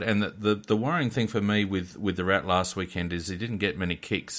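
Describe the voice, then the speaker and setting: Very clean, with a silent background, this recording features a man with an Australian accent. His pitch is very deep and low, with fairly even intonation. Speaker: technical producer and co-host. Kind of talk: casual sports chat.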